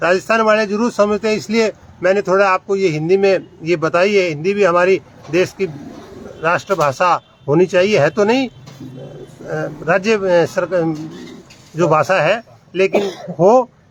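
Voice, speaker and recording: A man speaks in a high voice with a Rajasthani accent and ordinary pitch variation. Noticeable background noise runs underneath. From Rajasthan, India (Nohar area). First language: Rajasthani (speaking Hindi). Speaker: video blogger. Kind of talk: casual explainer vlog in a shop. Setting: in a shoe shop.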